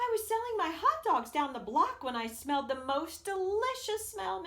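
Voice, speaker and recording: Squeaky and extremely high-pitched, a woman performs a put-on character voice at a moderate pace with very wide pitch swings. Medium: read story.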